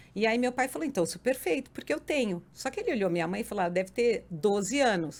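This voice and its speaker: Talking at a very fast pace with hardly any pauses, a woman uses a fairly high pitch and lively intonation. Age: 60s. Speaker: podcast guest, mother and grandmother. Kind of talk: casual interview chat. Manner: animated.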